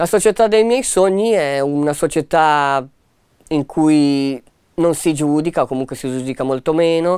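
Against a quiet background, someone talks at a fairly slow pace. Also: man. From Ticino, Switzerland; Switzerland. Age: 30s. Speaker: music therapist. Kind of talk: personal testimony. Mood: calm, reflective. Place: studio.

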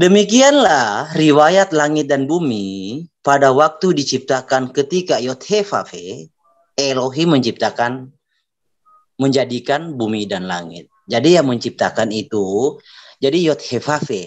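Against a quiet background, a man speaks at a fairly high pitch and a fairly slow pace. His pitch swings very widely. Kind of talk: religious debate. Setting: video call. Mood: assertive, argumentative. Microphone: video call.

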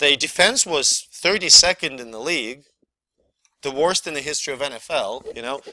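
Speaking at a fairly slow pace, a man has a bright, sharp tone. The sound is dry and close with no echo. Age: 30s. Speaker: university lecturer. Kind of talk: lecture.

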